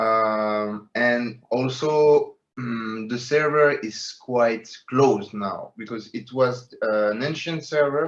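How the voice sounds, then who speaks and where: A man speaks at a medium pitch with a French accent and fairly even intonation. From France, Paris. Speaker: metaverse project co-founder. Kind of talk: interview. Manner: halting, many fillers.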